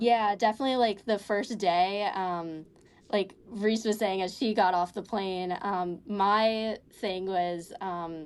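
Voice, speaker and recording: A woman speaks at a very slow pace. Her pitch is medium and her intonation fairly even. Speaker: college student. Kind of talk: casual interview chat. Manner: halting, many fillers.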